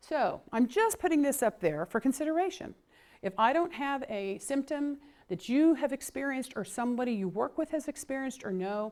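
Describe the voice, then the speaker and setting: With very wide pitch swings, a woman speaks at a fairly quick pace. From Oklahoma. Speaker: clinician and trainer. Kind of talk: lecture. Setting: conference training session. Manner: fast.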